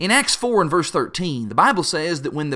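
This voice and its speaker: A man with a Kentucky Appalachian accent speaks high for a man, with a bright, sharp tone and very wide pitch swings, in a very clean recording with a silent background. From Appalachia, Kentucky. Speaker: preacher. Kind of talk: devotional talk.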